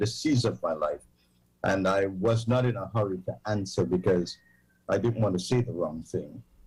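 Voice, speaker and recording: Recorded very cleanly against a silent background, a man talks at a fairly low pitch with ordinary pitch variation and vocal fry. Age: 70s. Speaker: pastor. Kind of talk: interview.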